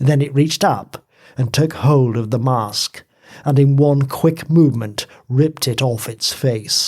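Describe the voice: What you hear is plain reading aloud.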